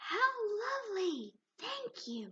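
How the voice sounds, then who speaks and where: A woman's put-on character voice, squeaky and extremely high in pitch. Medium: read story.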